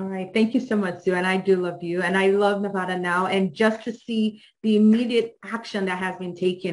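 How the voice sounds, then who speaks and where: A woman speaks at a fairly quick pace with a slight Nigerian accent. Her pitch is medium and her intonation fairly even. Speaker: judicial candidate. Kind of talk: campaign speech.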